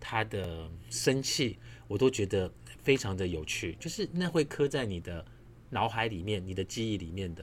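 A man talks in a Taiwanese accent with lively intonation. His voice is somewhat breathy. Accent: Taiwanese Mandarin. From Taiwan, Nanfang'ao (Yilan). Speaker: podcast host. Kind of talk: casual solo monologue. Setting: home apartment at night. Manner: quiet, keeping voice down.

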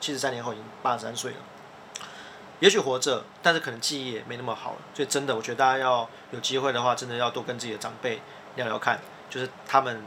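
Amid noticeable background noise, a man speaks very fast at a medium pitch, with big swings in loudness. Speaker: podcast host, editor-in-chief. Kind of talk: casual explanatory chat. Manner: animated.

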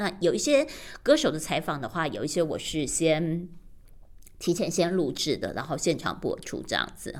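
A woman with an ordinary speaking voice and fairly low pitch talks at a moderate pace. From Taiwan. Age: 50s. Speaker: radio broadcaster. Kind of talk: personal podcast monologue.

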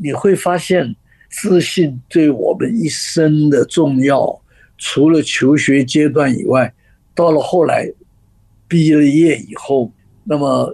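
A man with a fairly high pitch and a dark, mellow tone talks at a very slow pace with ordinary pitch variation. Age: 80s+. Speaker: author and communication trainer. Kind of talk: radio interview.

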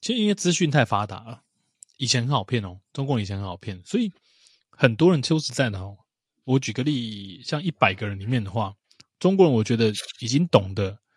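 Recorded very cleanly against a silent background, dry and close with no echo, a man of medium pitch speaks somewhat breathily at a fairly quick pace, with lively intonation, big swings in loudness and long, frequent pauses. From Taiwan. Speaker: podcast host. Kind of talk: casual chat.

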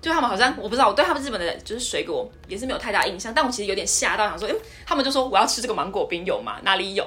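Over music in the background, a woman talks at a very fast pace with a high pitch and lively intonation. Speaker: podcast host. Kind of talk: casual chat.

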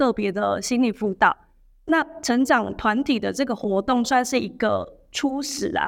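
A woman speaks at a high pitch with ordinary pitch variation. The recording is very clean and the background silent. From Taiwan, Changhua. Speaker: social service supervisor. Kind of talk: interview. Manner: repeats words, halting.

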